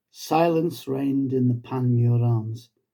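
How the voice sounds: Using a dark, mellow tone with vocal fry, a man speaks slowly at medium pitch with ordinary pitch variation.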